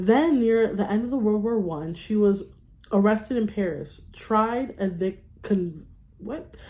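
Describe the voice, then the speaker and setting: A woman's dark, mellow tone at medium pitch, with ordinary pitch variation. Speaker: book reader. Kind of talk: reading aloud. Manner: halting, stumbling over words.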